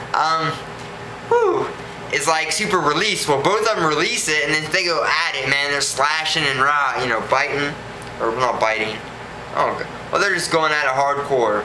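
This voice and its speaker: Noticeable background noise and audible room echo surround a man. He talks at a moderate pace with lively intonation. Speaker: anime reviewer. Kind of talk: casual video review. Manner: hesitant with fillers and stammers.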